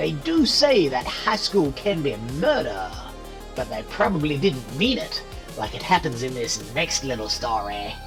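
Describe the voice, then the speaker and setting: Loud music plays in the background. Over it, the speaker uses a put-on character voice. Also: moderate pace. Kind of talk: horror host monologue.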